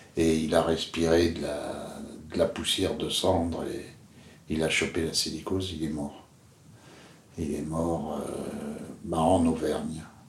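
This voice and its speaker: Speech comes very slowly in a flat monotone, broken by long, frequent pauses, with audible room echo. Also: man, very deep, low pitch for a man. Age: 70s. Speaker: interviewee telling his father's story. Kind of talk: personal testimony. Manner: halting, many hesitations.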